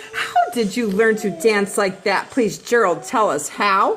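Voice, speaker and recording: A woman performs a put-on character voice at a medium pitch. She speaks at a fairly slow pace over clear background noise. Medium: read story.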